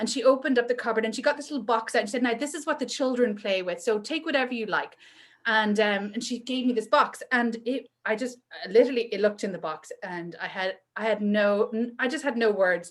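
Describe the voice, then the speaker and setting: A woman speaks very fast in a Northern Irish accent. Her pitch is fairly high, with ordinary variation. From Northern Ireland. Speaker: entrepreneur and maker. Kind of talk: casual chat. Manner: animated.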